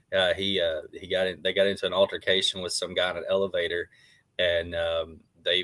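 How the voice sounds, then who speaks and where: Here a man speaks with an Arkansas accent. His pace is fairly quick. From Arkansas (Jonesboro). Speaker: former pro wrestler, show co-host. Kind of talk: casual chat.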